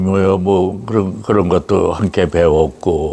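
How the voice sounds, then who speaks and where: A man talks at a very slow pace. Noticeable background noise runs under his voice. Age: 90s. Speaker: war correspondent. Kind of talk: interview testimony. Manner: halting.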